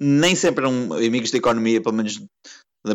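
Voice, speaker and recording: In a normal speaking voice, a man talks fairly quickly at medium pitch, his pitch variation ordinary. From Portugal, Porto. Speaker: economics consultant and emigrant. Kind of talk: podcast interview.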